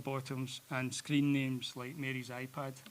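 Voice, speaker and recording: A man with a Glasgow accent. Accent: Scottish (Glasgow). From Scotland, Glasgow. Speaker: president of an art education society, opening speaker. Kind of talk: welcome speech. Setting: stage with audience in a cinema.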